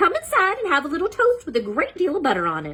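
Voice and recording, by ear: A woman puts on a character voice, extremely high and bright, sharp in tone, with very wide pitch swings at a fast pace.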